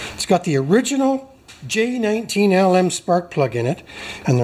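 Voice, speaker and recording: There is light background noise behind the man talking. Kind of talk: casual repair tutorial commentary. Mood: happy, enthusiastic. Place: garage.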